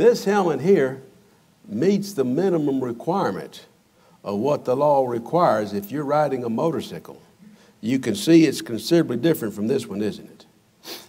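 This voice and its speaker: The speaker is a man. His delivery comes at a moderate pace, in a dark, mellow tone. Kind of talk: children's sermon demonstration. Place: church.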